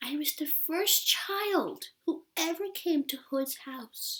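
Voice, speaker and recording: A woman whispers very slowly in a hoarse, put-on character voice. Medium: read story. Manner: gentle, tender.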